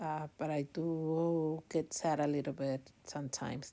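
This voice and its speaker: A woman with a non-native accent speaks in a very deep, low pitch and a dark, mellow tone, with fairly even intonation, in a very clean recording with a silent background. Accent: non-native accent, noticeable. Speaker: online reseller youtuber. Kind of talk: packaging tutorial vlog. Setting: at home late at night. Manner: hesitant with many fillers.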